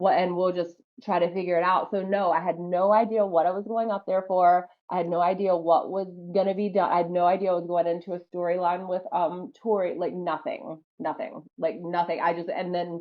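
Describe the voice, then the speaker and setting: A woman with a slight Southern US accent, fairly low pitch, animated tone and fairly quick pace. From US South, North Carolina. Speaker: professional wrestler. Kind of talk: interview.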